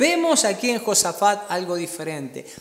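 Someone with a Cuyo Argentine accent talks at a fairly slow pace in a warm tone over noticeable background noise. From Argentina. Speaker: pastor. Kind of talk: sermon. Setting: church service streamed during pandemic. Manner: earnest, warm pastoral tone, teaching and exhorting.

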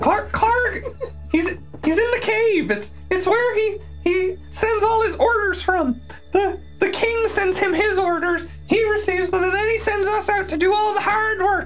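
An extremely high-pitched put-on character voice speaks at a fairly slow pace. Music plays clearly in the background. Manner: pleading, eager to talk.

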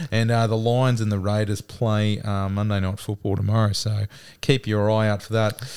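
With an Australian accent, a man speaks in a fairly low pitch and a flat, monotone delivery. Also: moderate pace. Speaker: podcast co-host.

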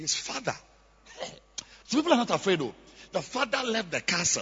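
A fairly bright tone with a husky, rough edge carries big pitch swings at a moderate pace. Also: man, high pitch for a man.

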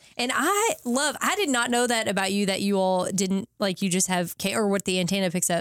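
Medium pitch and a moderate pace in a woman's unremarkable speaking voice. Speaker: podcast host. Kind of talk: casual interview chat.

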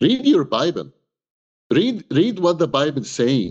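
Against a quiet background, a man with a fairly high pitch and vocal fry makes very wide pitch swings. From Egypt. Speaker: human rights activist and pastor. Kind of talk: interview discussion.

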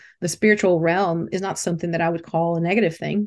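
A woman with a fairly low pitch speaks with ordinary pitch variation. The background is quiet. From Brazil. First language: Portuguese. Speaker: branding strategist and mentor. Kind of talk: interview.

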